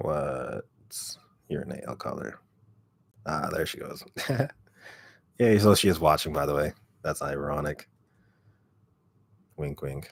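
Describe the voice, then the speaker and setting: A man speaks at a very slow pace with long, frequent pauses. His very deep, low voice is raspy, with vocal fry. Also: ordinary pitch variation, big swings in loudness. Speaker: ASMR creator. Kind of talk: casual livestream chat.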